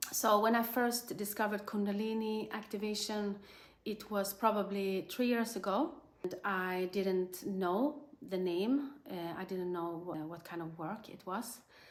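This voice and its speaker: A woman with a normal speaking voice talks at a fairly slow pace and medium pitch. Her pitch varies in an ordinary way while her loudness swings widely. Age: 40s. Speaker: energy healer. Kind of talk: interview testimony.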